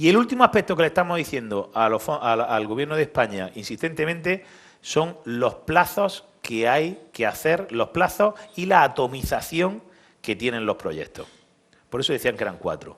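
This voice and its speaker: A man's fairly high-pitched voice with vocal fry, very wide pitch swings, and a moderate pace. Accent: Andalusian. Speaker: business association leader. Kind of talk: conference speech.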